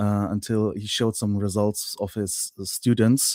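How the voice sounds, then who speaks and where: In a German accent, a man speaks fairly slowly at a fairly low pitch, his tone dark and mellow. The very clean recording has a silent background and a dry, close sound with no echo. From Germany. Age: 30s. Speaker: online course client, YouTube creator. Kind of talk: interview. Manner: hesitant, many fillers.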